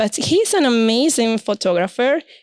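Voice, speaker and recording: A woman's fairly high voice at a fairly slow pace, in a dry, close sound with no echo. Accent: Spanish. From Venezuela. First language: Spanish. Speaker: podcast host, photographer. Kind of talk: casual interview.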